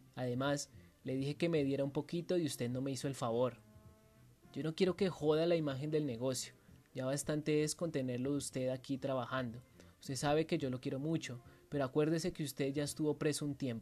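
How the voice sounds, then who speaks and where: A fairly quick pace with music in the background. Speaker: writing workshop instructor. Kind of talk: dramatic first-person narration of a short story, read aloud with a guide intro. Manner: vivid, theatrical storytelling, tense and menacing.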